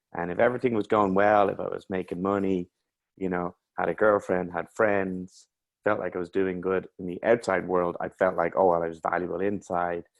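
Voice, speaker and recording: A man with an Irish accent speaks in a very deep, low voice. His pace is fairly quick and his intonation is monotone and flat. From Ireland. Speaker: mental health coach. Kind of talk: interview.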